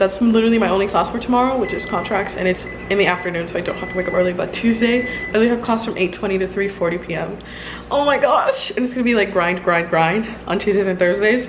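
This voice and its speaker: There is noticeable background noise as a woman talks very fast with ordinary pitch variation. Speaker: law student vlogger. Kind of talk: casual vlog chat. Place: kitchen. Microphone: phone near.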